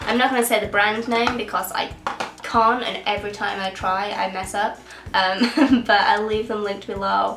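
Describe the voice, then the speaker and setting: Amid noticeable background noise and audible room echo, a woman with an English accent talks at a fairly high pitch with fairly even intonation. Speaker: beauty YouTuber. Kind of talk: casual vlog. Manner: sniffling.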